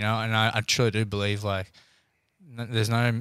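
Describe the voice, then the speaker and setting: The recording is very clean, with a silent background. A man at medium pitch speaks at a fairly quick pace in monotone, flat intonation. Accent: Australian. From Australia. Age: 20s. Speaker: professional boxer. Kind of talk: casual chat.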